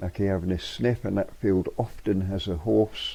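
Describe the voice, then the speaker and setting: Relaxed in tone, a man with a Yorkshire accent talks at a moderate pace. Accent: Yorkshire (Hull) English. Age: 70s. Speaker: vlogger. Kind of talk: casual narration. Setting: outdoors. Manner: relaxed, hesitant.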